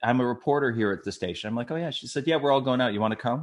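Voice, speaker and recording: Lively intonation from a man with an American accent over a quiet background. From Minnesota, US Midwest. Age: 60s. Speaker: retired TV news writer, memoir author. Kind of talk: casual interview storytelling. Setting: podcast interview. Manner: animated.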